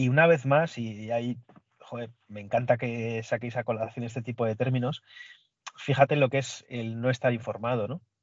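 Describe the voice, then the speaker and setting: A man with an unremarkable speaking voice and medium pitch talks at a moderate pace. His intonation is fairly even, but his loudness swings widely. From Basque Country, Spain. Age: 40s. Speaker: podcast guest, Bond fan. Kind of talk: casual chat.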